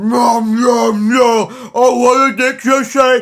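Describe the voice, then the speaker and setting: In a put-on character voice, a man speaks very slowly with an extremely high pitch and a monotone, flat intonation. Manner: oblivious, sloppy.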